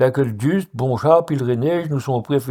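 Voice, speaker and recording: Over a very clean recording with a silent background, a man with a dark, mellow tone speaks at medium pitch and a moderate pace with ordinary pitch variation. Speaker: writer. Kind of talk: reading of regional dialect stories.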